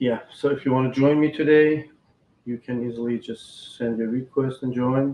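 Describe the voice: A man speaks at a medium pitch and a moderate pace. His tone is dark and mellow, with little pitch movement.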